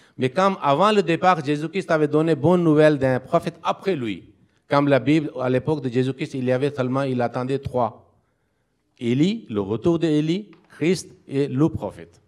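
A plain, everyday voice from a man, somewhat high-pitched, at an average speed with normal variation in pitch. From Pakistan. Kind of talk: interfaith debate. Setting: community hall with live audience.

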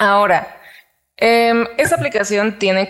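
A woman is speaking. She has a Mexican accent. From Mexico. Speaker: podcast co-host. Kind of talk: casual chat.

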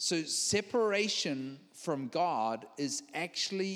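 Here a man talks with a New Zealand accent. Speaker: visiting preacher. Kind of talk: sermon with live interpretation. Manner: halting, repeats words.

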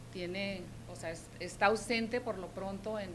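Amid noticeable background noise and audible room echo, a woman talks at a moderate pace in a medium pitch. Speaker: schoolteacher and local party activist. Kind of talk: interview.

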